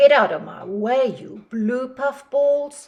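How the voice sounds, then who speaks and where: A woman's put-on character voice, high-pitched, gruff and growling, at a fairly slow pace. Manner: growling, gruff.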